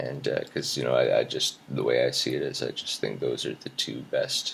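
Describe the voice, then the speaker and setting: Moderately paced male speech against noticeable background noise. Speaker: video blogger. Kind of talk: personal video journal monologue. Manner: hesitant, many fillers.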